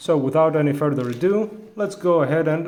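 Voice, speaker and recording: A man speaks at a moderate pace in a Greek accent, his pitch fairly high with ordinary variation. Audible room echo surrounds the voice. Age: adult. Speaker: toy reviewer. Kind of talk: product review. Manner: halting, many fillers.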